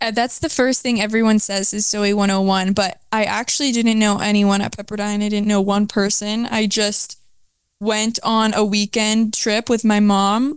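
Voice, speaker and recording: A woman's fairly high voice, fairly slow and monotone with very even loudness, in a dry sound with no echo against a quiet background. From Atlanta, Georgia (suburbs); Georgia. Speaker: podcast guest, college student; podcast guest. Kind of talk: casual chat. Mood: relaxed, casual. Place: home room. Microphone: handheld.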